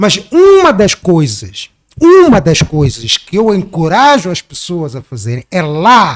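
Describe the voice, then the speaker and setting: A man's high voice at a very slow pace, with very wide pitch swings and a dry, close sound with no echo. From Mozambique. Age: 60s. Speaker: activist. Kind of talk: podcast interview.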